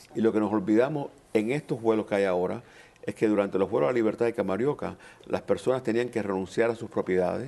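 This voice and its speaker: At a very fast pace, a man talks in a dark, mellow tone with ordinary pitch variation. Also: medium pitch for a man. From Cuba, raised in Miami. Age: 60s. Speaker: panel guest, Cuban exile community member. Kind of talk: panel discussion. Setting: college auditorium.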